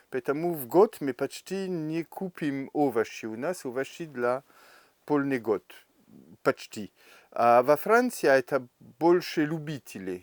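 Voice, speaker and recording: At a very slow pace with long, frequent pauses, a man speaks at a fairly high pitch with lively intonation, the sound dry and close with no echo. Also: very clean recording, silent background. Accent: French. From France. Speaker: bathhouse steam master. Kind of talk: interview answer.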